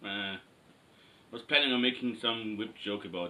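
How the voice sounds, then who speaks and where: Over noticeable background noise, a man with an Austrian accent speaks at a medium pitch and a moderate pace. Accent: non-native English, Austrian German. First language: German. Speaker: cosplay maker. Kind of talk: tutorial. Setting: in front of a camera, workshop. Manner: halting, many fillers.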